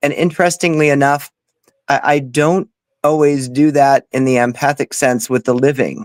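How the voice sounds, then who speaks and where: In a plain, everyday voice, a man speaks at a moderate pace with a fairly high pitch, fairly even intonation and very even loudness, the sound dry and close with no echo. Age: 40s. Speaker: paranormal medium. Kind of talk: casual interview chat.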